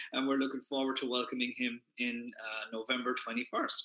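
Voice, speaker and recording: This man speaks with an Irish accent in a bright, sharp tone. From Ireland. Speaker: keto community founder. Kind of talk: live stream talk. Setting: Facebook Live. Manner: casual, many fillers.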